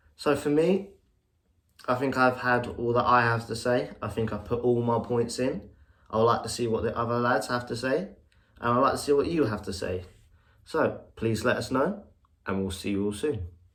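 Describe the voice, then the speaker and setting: A man at a moderate pace with long, frequent pauses, amid audible room echo. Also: medium pitch for a man, ordinary pitch variation. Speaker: podcast co-host. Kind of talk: casual update to fans.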